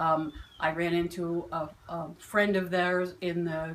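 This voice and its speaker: A woman speaks at a fairly low pitch. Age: 60s. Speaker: client of a listening service. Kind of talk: testimonial. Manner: halting.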